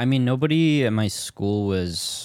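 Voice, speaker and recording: A man with an American accent in a very clean recording against a silent background. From US Pacific Northwest, southern Washington. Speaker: stand-up comedian. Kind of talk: casual chat.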